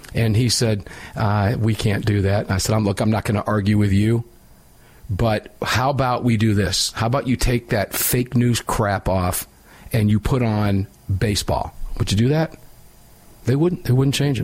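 Somewhat breathy speech at a moderate pace, very even in loudness, with ordinary pitch variation. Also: man, fairly low pitch for a man. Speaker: radio host. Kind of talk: live talk radio show, opinionated. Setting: studio.

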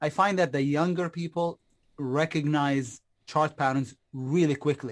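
On a very clean recording with a silent background, the speech has fairly even intonation and a fairly slow pace. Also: man. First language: not English. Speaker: stock and crypto trader. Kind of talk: interview.

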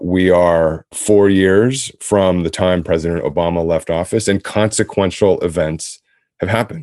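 At a fairly slow pace, a man speaks with a very deep, low pitch, a dark, mellow tone, and fairly even intonation against a quiet background. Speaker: podcast co-host and business executive. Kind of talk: conversational interview. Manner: formal.

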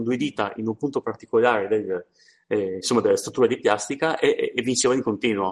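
A man with a medium pitch talks very fast. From Trieste area, northeastern Italy. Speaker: podcast co-host. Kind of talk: casual chat. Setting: remote call.

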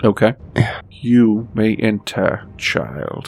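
A man's put-on character voice at medium pitch with ordinary pitch variation. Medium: actual play. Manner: stern, commanding.

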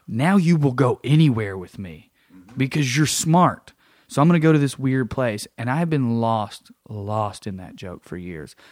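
A man talks with an East Tennessee accent and very wide pitch swings. The recording is very clean, with a silent background. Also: medium pitch for a man, moderate pace. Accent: Southern US (East Tennessee). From East Tennessee, US South. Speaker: stand-up comic.

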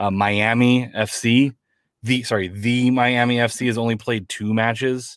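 A man speaks with an unremarkable speaking voice at medium pitch and a fairly slow pace. The recording is very clean, with a silent background. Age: 30s. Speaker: soccer podcast host. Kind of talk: casual chat.

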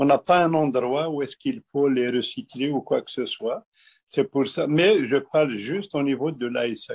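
The speaker moves at a fairly slow pace with ordinary pitch variation. The sound is dry and close, with no echo. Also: man, fairly high pitch for a man. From Algeria, Kabylie. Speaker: honey producer and distiller. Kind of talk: interview. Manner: halting.

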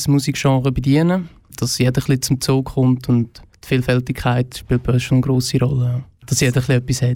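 This man has an ordinary speaking voice. He talks at a fairly quick pace with a medium pitch. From Switzerland, Fricktal (Aargau). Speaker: festival organizer. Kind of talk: radio interview.

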